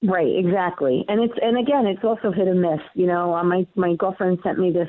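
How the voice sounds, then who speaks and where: Speaking at a moderate pace, a woman has a New York accent. Her voice sits at medium pitch with ordinary pitch variation. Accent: Queens New York. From New York, Queens. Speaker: comedian and local TV show host. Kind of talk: casual interview chat.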